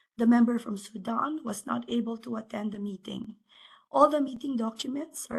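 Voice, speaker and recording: A woman speaks at a moderate pace. Her voice is somewhat breathy and fairly high in pitch. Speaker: secretariat staff presenter. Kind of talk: webinar presentation. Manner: formal.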